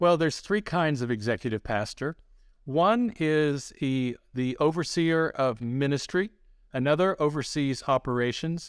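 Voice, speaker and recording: With an American accent and an unremarkable speaking voice, a man talks at a fairly slow pace and a fairly high pitch, his intonation lively, on a very clean recording with a silent background. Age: 60s. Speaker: pastor and ministry founder. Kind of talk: interview.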